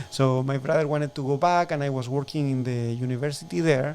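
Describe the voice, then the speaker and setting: A man with a strong Chilean accent. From southern Chile. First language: Spanish. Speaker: shellfish farmer. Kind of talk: interview. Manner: halting.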